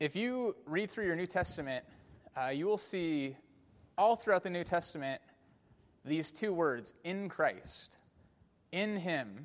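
A man with a Californian accent and a high pitch, at a fairly slow pace with long, frequent pauses and a quiet background. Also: lively intonation. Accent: Californian American. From US, San Francisco Bay Area. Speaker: pastor. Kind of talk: sermon. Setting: church.

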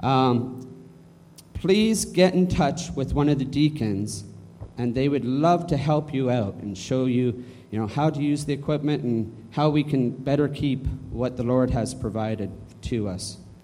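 A man's dark, mellow, medium-pitched voice at a fairly slow pace, with ordinary pitch variation and audible room echo. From Canada. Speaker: church announcements leader. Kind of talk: church announcements. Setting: church.

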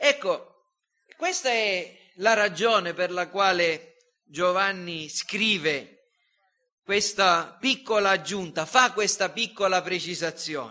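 A man projects a raised, high-pitched voice in a bright, sharp tone, moving at a very slow pace with ordinary pitch variation. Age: 50s. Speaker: pastor. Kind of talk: sermon.

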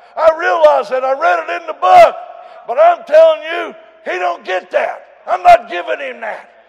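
Very wide pitch swings at a moderate pace, with crowd noise in the background. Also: man, extremely high pitch for a man, big swings in loudness. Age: 70s. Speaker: preacher. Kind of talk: sermon. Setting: church.

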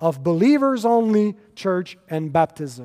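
A man speaks in a French Canadian accent with a high pitch. His tone is dark and mellow. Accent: French Canadian, apologizes for pronunciation. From Quebec. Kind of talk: lecture. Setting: conference stage with audience. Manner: halting, many fillers.

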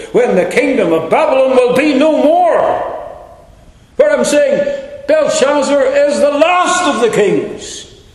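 A man talks at a very slow pace. Background noise is noticeable behind him. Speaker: preacher. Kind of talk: sermon, expository Bible teaching with opening prayer. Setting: church. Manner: earnest, solemn, devotional; measured, didactic, warmly encouraging.

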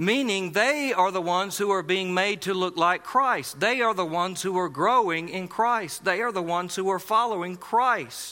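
A man's high, raised and projected voice in a South Carolina accent, at a moderate pace with hardly any pauses and ordinary pitch variation. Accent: Southern US (South Carolina). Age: 40s. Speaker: pastor. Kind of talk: sermon.

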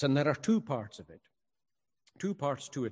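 A man with a Highland Scottish accent, somewhat breathy at medium pitch, lively in intonation, against a quiet background. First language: Scottish Gaelic. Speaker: pastor. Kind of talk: sermon. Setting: church, also streamed online.

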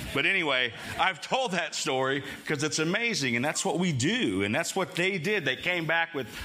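A man with a fairly high voice swings his pitch very widely, with noticeable background noise and audible room echo. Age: 50s. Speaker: pastor. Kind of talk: sermon. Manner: loud.

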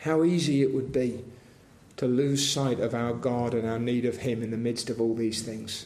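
Here is an ordinary speaking voice at a moderate pace with fairly even intonation. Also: man, medium pitch for a man. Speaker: preacher. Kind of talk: sermon with fervent, pleading prayer for revival. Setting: church. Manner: fervent, earnest, pleading, imploring; repetitive, rhythmic pleading.

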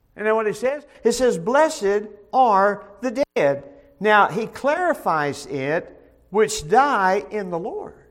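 Pitched high, a man speaks very slowly as his voice swings very widely up and down. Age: 70s. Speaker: pastor. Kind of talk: bible study teaching. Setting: church. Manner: halting.

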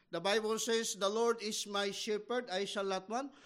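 A man speaks at a moderate pace and high pitch, with fairly even intonation. The recording is very clean, with a silent background. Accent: Filipino. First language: Filipino. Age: 50s. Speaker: missionary pastor. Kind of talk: sermon. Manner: halting.

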